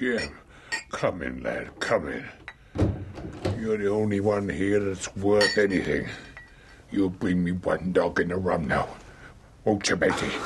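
A man speaks in a put-on character voice at a fairly low pitch. He moves at a fairly slow pace, with long, frequent pauses. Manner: weak, feverish, pleading.

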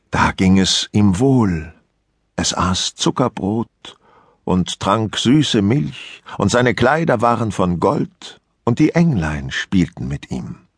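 A man speaks at a very slow pace in a calm tone, fairly low in pitch yet with very wide pitch swings. The sound is dry and close with no echo, over a quiet background. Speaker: audiobook narrator. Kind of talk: audiobook fairy-tale reading, bedtime story telling. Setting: studio. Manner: calm, slow, measured storytelling pace.

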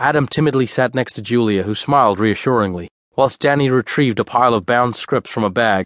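With ordinary pitch variation, an unforced reading voice plays against a quiet background.

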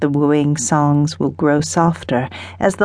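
A woman with a very deep, low pitch and a dark, mellow tone, at a fairly slow pace against a quiet background. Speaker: audiobook narrator. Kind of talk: dramatic audiobook narration of historical romance fiction. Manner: unhurried, atmospheric storytelling that lingers on sensory detail.

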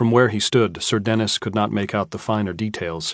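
Against a quiet background, a man with an ordinary speaking voice talks at a fairly low pitch and a fairly quick pace, with fairly even intonation. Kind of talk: audiobook narration, reading aloud. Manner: measured, formal, even-paced literary narration.

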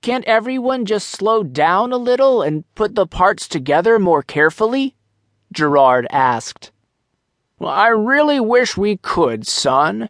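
Pitched high, a man speaks at a fairly slow pace with very wide pitch swings, recorded with a dry, close sound and no echo. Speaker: audiobook narrator. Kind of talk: audiobook narration of a children's story. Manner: measured, storytelling pace with light character voices for dialogue.

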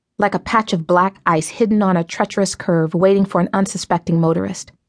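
Captured with a dry, close sound with no echo and a quiet background, an ordinary speaking voice moves at a fairly quick pace with ordinary pitch variation. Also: woman. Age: 30s. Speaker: author narrating own book. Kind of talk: audiobook narration.

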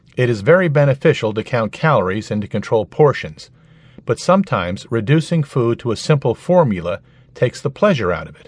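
A man with a medium pitch, a warm tone and a somewhat breathy quality speaks at a moderate pace with very wide pitch swings, the sound dry and close with no echo. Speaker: audiobook narrator. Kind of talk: nonfiction audiobook reading. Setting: studio. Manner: clear, even, instructional; warm, conversational, persuasive.

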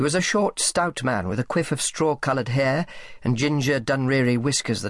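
With ordinary pitch variation, the clip features reading aloud in a natural voice.

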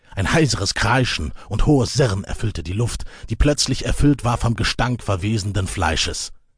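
A man's fairly low voice with a dramatic tone, lively intonation and a moderate pace. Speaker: audiobook narrator. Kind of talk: dramatic audiobook narration of epic fantasy. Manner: suspenseful, vivid, building tension in action scenes; measured, storytelling pace with dramatic emphasis.

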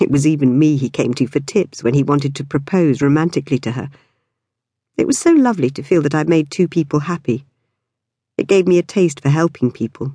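A woman talks at a fairly quick pace, her pitch very deep and low, with ordinary pitch variation. Her tone is dark, mellow and warm against a quiet background. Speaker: audiobook narrator. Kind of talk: audiobook narration of a memoir, first person. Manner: warm, conversational, reflective.

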